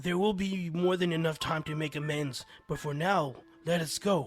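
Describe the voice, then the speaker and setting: A man's put-on character voice with a fairly high pitch. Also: moderate pace. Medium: read story. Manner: gentle, calm.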